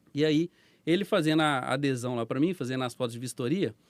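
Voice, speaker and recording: In a slight mineiro accent, a man speaks very fast at a fairly high pitch with ordinary pitch variation, the sound dry and close with no echo. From Brazil, Minas Gerais (Belo Horizonte). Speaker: business owner, former police officer. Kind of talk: podcast interview storytelling. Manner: casual.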